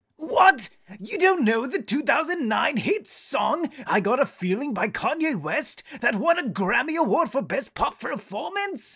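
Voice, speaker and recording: This is a cartoonish character voice with a menacing tone. It sits at a high pitch with very wide pitch swings. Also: fairly slow pace. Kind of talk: cartoon villain voice acting. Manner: explosive ranting; manic, gleeful, menacing.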